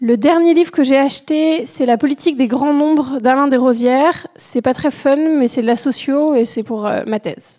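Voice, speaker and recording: Her voice is high in pitch with a dark, mellow tone. The woman talks at a moderate pace with ordinary pitch variation. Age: 20s. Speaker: doctoral student. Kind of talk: recorded listener testimony.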